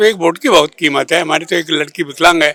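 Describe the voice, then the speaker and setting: A man's high, bright and sharp voice with ordinary pitch variation, in a dry, close sound with no echo. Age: 80s+. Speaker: voter. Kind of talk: street interview. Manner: halting.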